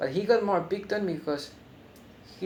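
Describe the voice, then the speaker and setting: A man with a non-native accent speaks at a moderate pace. His intonation is fairly even, and the room echo is audible. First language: not English. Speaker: film reviewer. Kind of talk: video review. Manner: halting.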